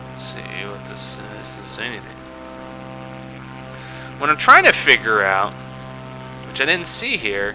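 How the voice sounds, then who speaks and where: A man talks in a very deep, low voice with lively intonation and long, frequent pauses. Music plays in the background. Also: moderate pace, big swings in loudness. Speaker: gamer. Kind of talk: casual gameplay commentary. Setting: home microphone, slightly loud.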